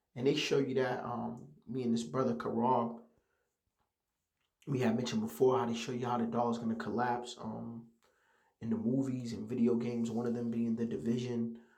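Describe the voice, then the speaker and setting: Through audible room echo, a man with a medium pitch and fairly even intonation talks at a fairly quick pace, broken by long, frequent pauses. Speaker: religious teacher. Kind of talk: religious lesson. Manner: halting.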